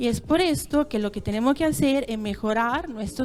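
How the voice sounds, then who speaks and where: Her pitch fairly high and its variation ordinary, a woman speaks at a fairly slow pace. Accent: Italian. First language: Italian (speaking Spanish). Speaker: dairy consortium representative. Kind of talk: conference talk. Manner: halting.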